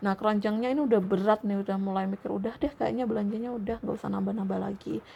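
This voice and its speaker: Speaking at a very fast pace, a woman talks at a medium pitch. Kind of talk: sleep story, casual rambling talk.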